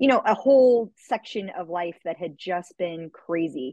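In a dry, close sound with no echo, a woman speaks in a plain, everyday voice, pitched fairly low. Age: 40s. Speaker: fitness and nutrition coach, podcast host. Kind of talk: interview.

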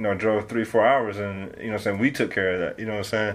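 Over noticeable background noise, a man with an American accent talks at a fairly low pitch with fairly even intonation. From Detroit, Michigan. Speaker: rapper. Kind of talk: casual interview.

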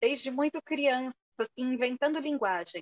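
The sound is dry and close, without any echo. A woman speaks at a moderate pace. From Brazil, São Paulo. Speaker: writer and teacher. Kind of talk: casual interview.

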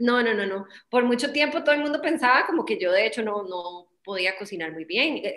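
Speaking at a fairly quick pace with a Costa Rican accent, a woman's fairly high voice moves through very wide pitch swings. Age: 30s. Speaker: English teacher and mother. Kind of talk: casual chat. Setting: video call.

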